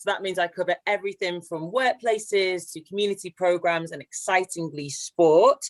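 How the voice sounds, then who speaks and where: With a slight northwest English accent, a woman speaks at a medium pitch and moderate pace with ordinary pitch variation, hardly any pauses, and a dry, close sound with no echo. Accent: slight northwest English twang. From northwest England, near Haydock (Merseyside/Lancashire). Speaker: LGBT charity director, panelist. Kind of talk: panel discussion. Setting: online webinar.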